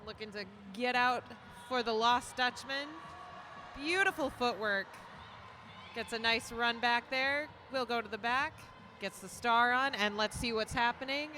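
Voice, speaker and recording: The speech comes at a fairly slow pace with a Minnesotan accent. Long, frequent pauses break up the ordinary pitch variation. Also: woman, high pitch for a woman. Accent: Minnesota. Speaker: roller derby commentator. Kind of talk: live commentary.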